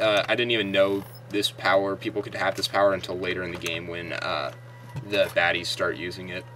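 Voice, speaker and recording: With noticeable background noise behind him, a man speaks at a fairly low pitch with big swings in loudness. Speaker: gaming video creator. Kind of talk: let's play commentary. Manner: animated.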